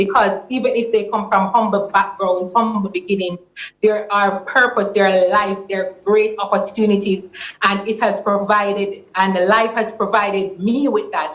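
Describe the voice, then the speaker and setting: Her intonation is flat and monotone as a woman speaks at a moderate pace and a medium pitch. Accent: Jamaican. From Jamaica. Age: 20s. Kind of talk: TV interview answer.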